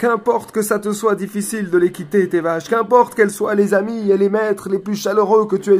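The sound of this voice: The unforced reading voice holds a fairly even intonation.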